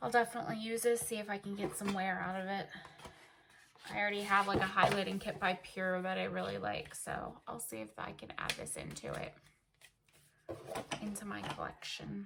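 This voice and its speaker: Woman speaking at a fairly quick pace with long, frequent pauses amid noticeable background noise. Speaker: beauty vlogger. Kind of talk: casual unboxing chat. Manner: animated.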